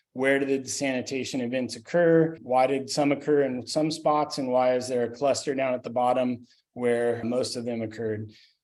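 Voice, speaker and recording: A man's medium-pitched voice with hardly any pauses. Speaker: sanitation consultant. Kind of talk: webinar presentation. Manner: fast.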